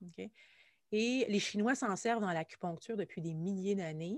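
With a Quebec accent, a woman speaks in a dry, close sound with no echo on a very clean recording with a silent background. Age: 40s. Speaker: musician and anxiety coach. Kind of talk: casual interview chat.

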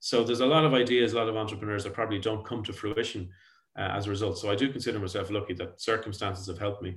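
On a very clean recording with a silent background, a man with an Irish accent speaks very fast at a fairly low pitch. His voice is somewhat breathy, with fairly even intonation. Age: 40s. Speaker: tech company founder and CEO. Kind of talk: podcast interview. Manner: halting, frequent repetitions.

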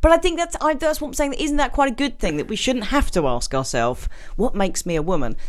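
A woman speaks with a British accent. Her pace is very fast. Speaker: podcast co-host. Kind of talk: casual chat. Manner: jokey.

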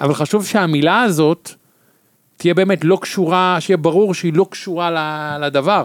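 A man's high-pitched voice, with ordinary pitch variation, sounds dry and close with no echo. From Israel, Tel Aviv. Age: 50s. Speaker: podcast guest. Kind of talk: casual chat.

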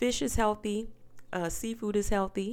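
Over a silent background in a very clean recording, a woman with a Southern US accent talks at a fairly slow pace, her medium-pitched voice keeping fairly even intonation. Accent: Southern American. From US South. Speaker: podcast host. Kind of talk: casual monologue.

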